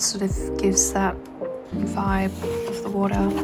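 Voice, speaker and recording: A soft-spoken woman talks with music in the background. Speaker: artist. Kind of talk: casual sketchbook flip-through commentary.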